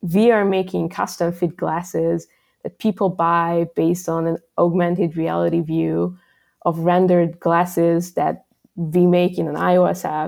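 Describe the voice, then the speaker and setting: The speaker talks at a fairly slow pace in a Hungarian accent. The recording is very clean, with a silent background. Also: woman. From Hungary. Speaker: software developer. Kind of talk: interview. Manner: casual, frequent fillers.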